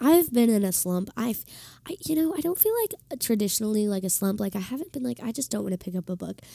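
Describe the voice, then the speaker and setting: Somewhat breathy and dark, mellow in tone, a woman speaks very fast at a fairly high pitch, her pitch swinging very widely. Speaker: podcast host. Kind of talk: casual solo talk.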